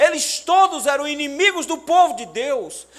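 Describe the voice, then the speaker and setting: With a Paraíba accent, a man speaks in a raised, projected voice, his tone animated and intonation lively, over noticeable background noise. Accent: northeastern Brazilian (Paraíba). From Brazil, Paraíba (Pombal, Sertão). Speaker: pastor. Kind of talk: sermon.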